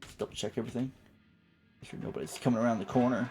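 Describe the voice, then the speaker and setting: A man's medium-pitched voice at a very fast pace, with ordinary pitch variation and music in the background. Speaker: video game streamer. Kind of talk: casual live stream gameplay commentary.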